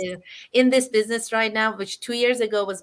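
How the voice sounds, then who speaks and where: A woman with an Iranian accent, very fast pace and fairly even intonation, on a very clean recording with a silent background. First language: Farsi. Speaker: online business host. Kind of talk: live interview chat. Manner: halting, many fillers.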